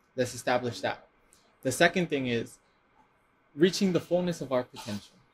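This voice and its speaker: A man talks at a fairly quick pace in a fairly high pitch. His voice is somewhat breathy, with lively intonation. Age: 20s. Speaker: podcast host. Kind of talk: interview. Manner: animated.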